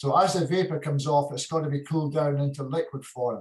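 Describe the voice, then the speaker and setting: In a Hebridean accent, a man talks in a fairly high pitch. His voice is somewhat breathy. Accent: Scottish (Hebridean). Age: 60s. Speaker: retired whisky distiller. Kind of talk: interview answer.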